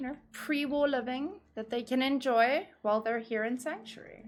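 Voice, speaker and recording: Her voice is high in pitch. This woman's pitch moves with ordinary variation. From South Africa. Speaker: video game streamer. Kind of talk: live stream gameplay chat. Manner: casual, animated.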